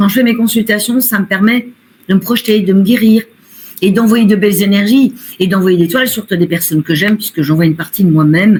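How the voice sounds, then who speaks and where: A woman speaks at a fairly quick pace in a somewhat breathy, medium-pitched voice, with ordinary pitch variation and very even loudness. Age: 60s. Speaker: medium and painter. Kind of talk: interview.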